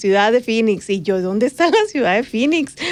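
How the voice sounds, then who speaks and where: A woman speaks with a normal speaking voice at a fairly high pitch. Her pace is fairly quick. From Mexico, Sonora border (Magdalena). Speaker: journalist and podcast co-host. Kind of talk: casual chat.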